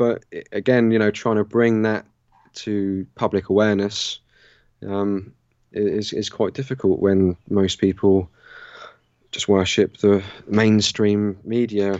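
A man with a southern English accent speaks at a fairly slow pace and a fairly low pitch. His intonation is fairly even, broken by long, frequent pauses. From Southern England, Southampton. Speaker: natural law researcher and teacher. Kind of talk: casual interview. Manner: halting, many fillers.

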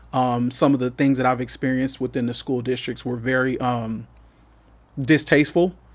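A man with an American accent and medium pitch at a moderate pace, on a very clean recording with a silent background. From Coachella Valley, California. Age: 40s. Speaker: community worker and father. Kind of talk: podcast interview.

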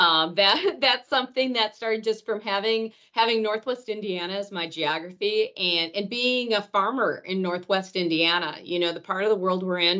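A woman talks at a moderate pace and medium pitch with ordinary pitch variation. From northern Wisconsin, Rhinelander. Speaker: agronomy research manager. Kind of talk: casual interview.

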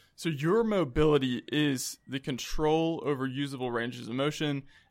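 Captured in a very clean recording with a silent background, a man with a normal speaking voice, fairly high pitch and ordinary pitch variation speaks with an American accent. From South Carolina (Columbia). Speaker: chiropractor. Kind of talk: casual interview. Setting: studio.

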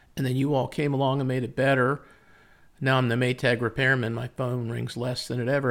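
In an American accent, a man speaks at a medium pitch and a fairly quick pace, his intonation monotone and flat. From United States. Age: 60s. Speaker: pool chemical company founder. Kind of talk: casual interview.

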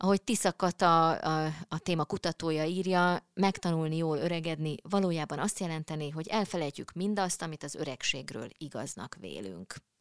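A woman's fairly low voice, a normal speaking voice, at a moderate pace, in a very clean recording with a silent background and a dry, close sound with no echo. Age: middle-aged. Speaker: podcast host. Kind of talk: casual chat. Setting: studio.

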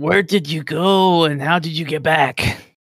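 The speaker uses a raspy, put-on character voice. The delivery moves at a moderate pace. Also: man, fairly high pitch for a man. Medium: actual play.

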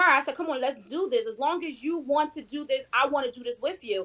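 Speaking at a moderate pace, a woman with a Philadelphia accent has a high pitch. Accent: Philadelphia American. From US Northeast, Philadelphia. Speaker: network marketing leader. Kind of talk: interview.

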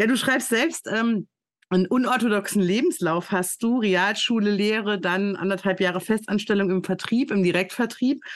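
A woman speaks in a plain, everyday voice at medium pitch and a moderate pace, with very even loudness and ordinary pitch variation. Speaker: podcast host and recruiting consultant. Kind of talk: casual interview.

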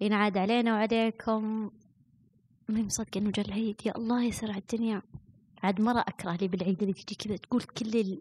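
In a Najdi accent, the speaker talks at a moderate pace in a dry, close sound with no echo, on a very clean recording with a silent background. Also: woman. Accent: Saudi Najdi Arabic. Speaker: podcast host. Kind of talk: solo casual monologue. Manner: animated.

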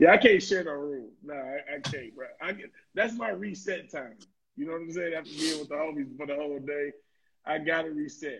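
Speaking at a fairly quick pace, a man with a fairly high pitch shows ordinary pitch variation and big swings in loudness. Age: 30s. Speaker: podcast co-host. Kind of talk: casual chat.

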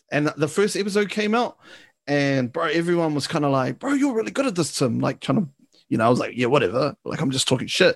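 A fairly high-pitched man's voice, fairly quick with lively intonation, against a quiet background. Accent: New Zealand. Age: 20s. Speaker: podcast host. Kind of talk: casual chat.

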